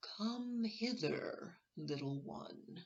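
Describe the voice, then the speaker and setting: A woman puts on a character voice at a medium pitch with very wide pitch swings. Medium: read story. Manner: coaxing, sly.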